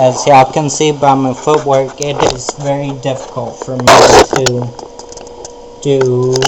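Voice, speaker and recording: Noticeable background noise surrounds a man speaking at a fairly slow pace. His medium-pitched voice is monotone, with flat intonation. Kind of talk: personal video blog. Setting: outdoors. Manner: slow speech due to ataxia.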